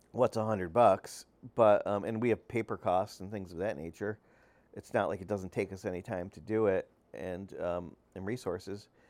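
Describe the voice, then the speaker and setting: In a plain, everyday voice, a man with an American accent speaks at a fairly low pitch and moderate pace, with fairly even intonation and big swings in loudness, on a very clean recording with a silent background. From upstate New York (Utica). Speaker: newspaper publisher and journalism professor. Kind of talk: solo podcast monologue. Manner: frequent fillers, conversational.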